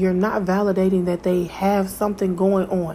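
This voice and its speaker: This woman talks at a moderate pace. Background noise is noticeable behind her. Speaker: podcast host. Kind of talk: solo monologue.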